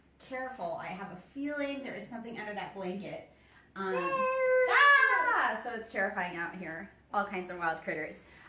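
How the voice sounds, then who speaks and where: A woman talks in an animated tone at a moderate pace, with noticeable background noise and audible room echo. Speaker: travel and product reviewer. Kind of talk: casual walkthrough video tour. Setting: hotel room and patio. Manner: quieter, lowered voice outdoors.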